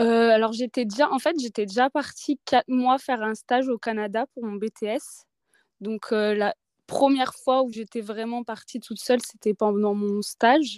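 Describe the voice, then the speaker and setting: Fairly slow, fairly even intonation, dry and close with no echo, on a very clean recording with a silent background. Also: woman, fairly high pitch for a woman. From Auvergne, France (near Clermont-Ferrand). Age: 20s. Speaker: traveller. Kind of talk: testimony.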